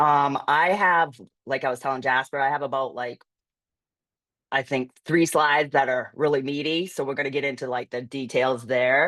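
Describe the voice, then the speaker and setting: A woman's very deep, low voice carries fairly even intonation. The background is quiet. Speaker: digital marketing agency owner. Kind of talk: webinar presentation. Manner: fast.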